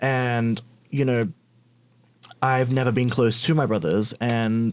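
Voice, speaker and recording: A man with an Australian accent and a medium pitch. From Australia, Sydney (Bankstown). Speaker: LGBTQ+ influencer. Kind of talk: podcast interview.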